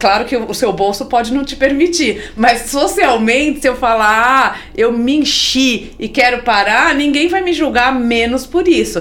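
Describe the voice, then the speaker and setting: A woman speaks at a high pitch and a fairly slow pace with lively intonation and hardly any pauses, over noticeable background noise. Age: 50s. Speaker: NGO executive, economist. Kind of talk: interview conversation.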